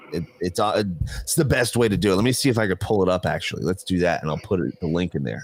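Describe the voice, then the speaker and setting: A man's very deep, low voice with a New Jersey accent, very fast and animated, with lively intonation over noticeable background noise. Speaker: podcast co-host. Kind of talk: casual chat.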